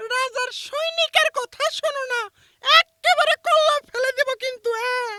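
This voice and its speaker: In a cartoonish character voice with extremely high pitch, the speaker delivers the lines at a fairly slow pace. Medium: puppet. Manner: threatening, blustering.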